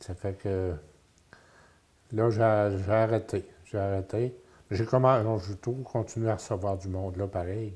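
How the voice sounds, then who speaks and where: A man's very slow, fairly even delivery in a Quebec accent, dark, mellow tone, with long, frequent pauses. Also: fairly low pitch for a man. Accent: rural Quebec French. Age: 70s. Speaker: retiree interviewed about his life. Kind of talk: interview. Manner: halting.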